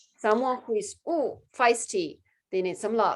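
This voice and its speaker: On a very clean recording with a silent background, a woman speaks. Her pitch is fairly high, with ordinary variation. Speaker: sales coach. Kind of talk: group coaching session. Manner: fast.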